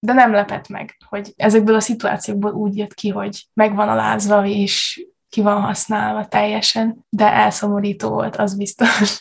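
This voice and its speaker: A woman speaks at a fairly slow pace with hardly any pauses. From Subotica, Vojvodina, Serbia. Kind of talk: casual chat.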